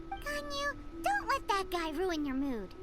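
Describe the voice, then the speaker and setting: Over loud background music, a put-on character voice, squeaky and extremely high in pitch, speaks at a fairly slow pace. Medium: video game. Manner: chatty, cheeky.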